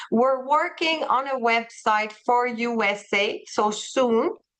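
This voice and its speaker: The speaker has a French accent and ordinary pitch variation. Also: woman. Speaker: travel company representative. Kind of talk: webinar presentation. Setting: video call. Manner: halting, searching for words.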